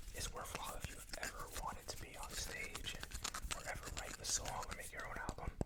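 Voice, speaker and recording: A man whispers at a fairly quick pace amid noticeable background noise. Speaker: ASMR creator. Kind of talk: ASMR rambling to camera. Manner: fast, chaotic, casual.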